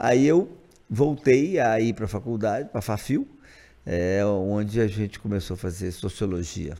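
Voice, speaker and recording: Using an ordinary speaking voice, a man talks at a moderate pace and fairly low pitch with lively intonation on a very clean recording with a silent background. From Brazil, Montes Claros, Minas Gerais. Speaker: state legislator and physician. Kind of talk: casual interview.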